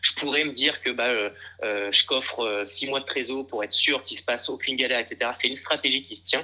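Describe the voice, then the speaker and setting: A man talks at a fairly quick pace with fairly even intonation. His tone is bright and sharp. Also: medium pitch for a man. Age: 20s. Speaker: startup founder and CEO. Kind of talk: casual interview. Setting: remote recording. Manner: halting, many repetitions and fillers.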